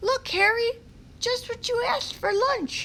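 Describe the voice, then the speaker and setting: Using a put-on, squeaky character voice pitched extremely high, a woman speaks at a moderate pace over clear background noise. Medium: read story.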